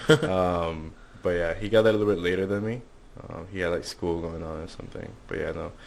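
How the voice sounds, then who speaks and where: This man talks at a very fast pace in a very deep, low voice, with ordinary pitch variation and audible room echo. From Venezuela. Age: 20s. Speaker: business student intern. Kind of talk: casual interview.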